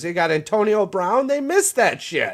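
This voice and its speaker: Moving at a moderate pace, a man with a Midwestern accent lets his pitch swing very widely. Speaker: sports podcast co-host. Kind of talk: casual chat. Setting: live stream panel. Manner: animated.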